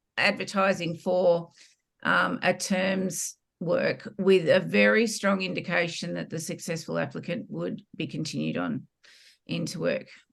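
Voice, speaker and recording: Fairly slowly, a woman talks in an Australian accent. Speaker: former teacher. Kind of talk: interview testimony.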